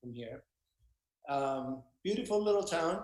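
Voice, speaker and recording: A man speaks at a moderate pace. His pitch is fairly high and varies in an ordinary way. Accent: Mexican. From Mexico, Baja California. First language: Spanish. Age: 50s. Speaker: actor and voiceover artist, business owner. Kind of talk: interview, casual chat.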